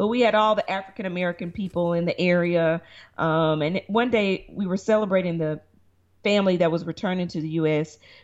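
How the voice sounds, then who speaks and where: A woman with a Southern US accent speaks fairly quickly in a fairly low pitch with fairly even intonation. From Tennessee, Chattanooga. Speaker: lawyer, actress and reality show producer. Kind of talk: interview. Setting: remote call.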